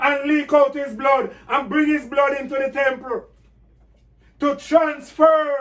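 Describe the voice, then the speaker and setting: Loud and very slow, a man speaks at an extremely high pitch with fairly even intonation. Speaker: pastor. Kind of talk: bible class.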